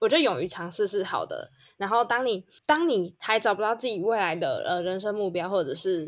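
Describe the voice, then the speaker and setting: A woman with a plain, everyday voice speaks at a fairly quick pace, medium in pitch, with ordinary pitch variation. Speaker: podcast co-host. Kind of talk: casual chat.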